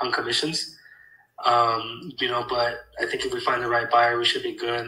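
A man speaks at a moderate pace with audible room echo. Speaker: real estate acquisitions employee. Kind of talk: work check-in call. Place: home room.

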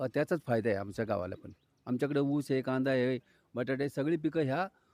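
A man with an unremarkable speaking voice and medium pitch shows ordinary pitch variation, recorded very clean with a silent background and a dry, close sound with no echo. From Maharashtra, Pune district (Ambegaon). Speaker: farmer. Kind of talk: street interview.

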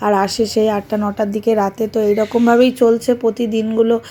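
A dark, mellow tone in a monotone, flat intonation. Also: woman. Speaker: vlogger. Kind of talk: casual vlog monologue.

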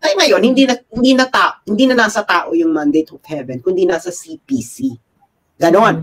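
Against a quiet background, the talking proceeds at a moderate speed. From Philippines. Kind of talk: casual chat. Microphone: video call.

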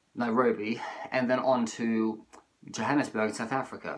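A man speaks at a moderate pace, his intonation fairly even. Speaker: travel vlogger. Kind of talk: casual vlog chat. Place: home room. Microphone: phone near.

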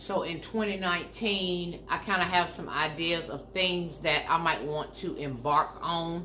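Speaking very slowly, a woman uses a fairly low pitch and fairly even intonation over light background noise. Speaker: lifestyle vlogger. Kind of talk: casual vlog chat. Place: home room.

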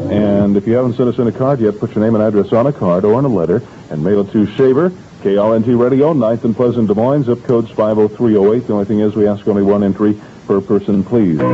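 Very fast and very even in loudness, a man speaks at a fairly low pitch with ordinary pitch variation. Light background noise runs underneath. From United States Midwest. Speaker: radio DJ. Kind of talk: radio DJ morning show patter. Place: booth. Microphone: old recording.

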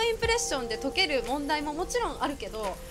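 Clear music is heard in the background. Over it, a woman talks. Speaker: model, actress and YouTube host. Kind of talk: interview host, casual conversation. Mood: cheerful, smiling. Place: garden. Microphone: handheld.

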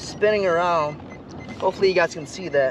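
A man at a high pitch with ordinary variation, the sound dry with no echo and noticeable background noise. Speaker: fishing vlogger. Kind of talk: casual vlog tutorial. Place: boat.

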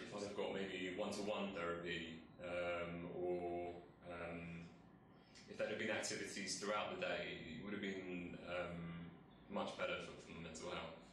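A man speaks with monotone, flat intonation amid audible room echo and light background noise. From England, northwest London (Harrow). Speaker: mental health campaigner. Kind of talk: testimony. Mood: calm, reflective. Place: office.

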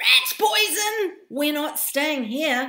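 A squeaky, high-pitched put-on character voice. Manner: squeaking in fright.

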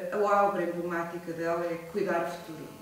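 A woman speaks at a moderate pace. The recording has strong room echo and light background noise. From Portugal, Viseu district (Mangualde). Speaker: sociologist and member of parliament. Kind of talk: public lecture. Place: hall. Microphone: camera far.

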